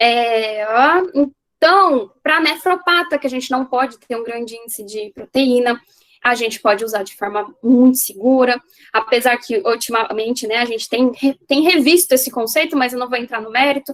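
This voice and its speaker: A woman speaks at a high pitch with ordinary pitch variation. Her loudness swings a lot. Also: moderate pace. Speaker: veterinarian lecturer. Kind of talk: lecture. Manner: casual.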